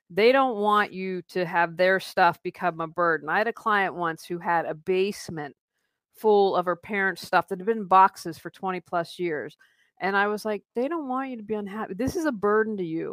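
With an American accent and an ordinary speaking voice, a woman speaks at medium pitch and a moderate pace with ordinary pitch variation, in a dry, close sound with no echo on a very clean recording with a silent background. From West Virginia, Wheeling. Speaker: life coach and professional declutterer. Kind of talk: interview conversation.

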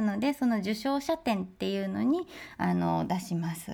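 Against a silent background, the recording is very clean. A woman talks at a moderate pace. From Osaka, Japan. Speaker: sculptor. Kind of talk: interview.

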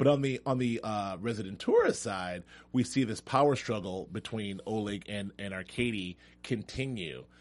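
Speaking with a plain, everyday voice, a man keeps a moderate pace at fairly low pitch with ordinary pitch variation. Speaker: TV after-show host. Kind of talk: casual chat. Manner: joking, chatty.

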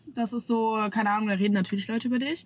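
A woman talks very fast. There is some breathiness in her voice. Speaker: social media creator. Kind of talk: casual chat. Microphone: camera audio instead of studio mic, worse sound.

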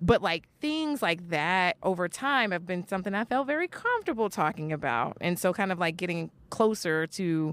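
A woman's normal speaking voice, fairly low in pitch, with an American accent, lively intonation and a moderate pace, in a dry, close sound with no echo. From New York (Brooklyn). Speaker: geneticist and podcaster. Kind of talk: casual interview chat.

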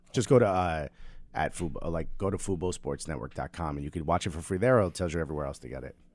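A man's very deep, low voice with vocal fry and an American accent, very fast, lively in intonation, with big swings in loudness, on a very clean recording with a silent background. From Newark, New Jersey. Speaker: comedian. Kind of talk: plug for own show; casual chat.

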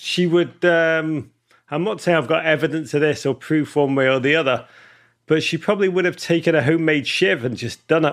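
A man with a Liverpool accent, fairly high pitch, ordinary pitch variation and a fairly quick pace. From England, Liverpool. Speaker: author. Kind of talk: casual chat. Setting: video call.

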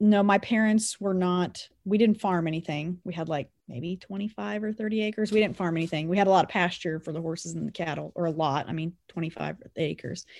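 With a Kansas accent, a woman speaks at a fairly low pitch and a fairly quick pace with hardly any pauses, in a very clean recording with a silent background. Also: ordinary pitch variation. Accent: rural Midwestern US (Kansas). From Kansas, Anderson County. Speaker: rancher and agricultural communications director. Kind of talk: interview. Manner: loud.

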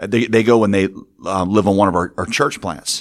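A man's unremarkable speaking voice, at a fairly quick pace and with fairly even intonation, in a very clean recording with a silent background. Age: 40s. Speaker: pastor. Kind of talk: interview conversation.

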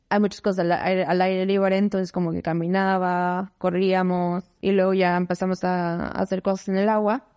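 A woman's medium-pitched voice, dark and mellow in tone. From Mexico City. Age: 30s. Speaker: economist and consultant. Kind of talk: interview.

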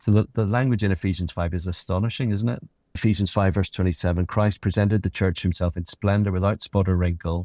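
Very deep and low, a man's voice has a dark, mellow tone and fairly even intonation at a fairly quick pace. The sound is dry and close with no echo, a very clean recording with a silent background. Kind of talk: interview conversation about faith.

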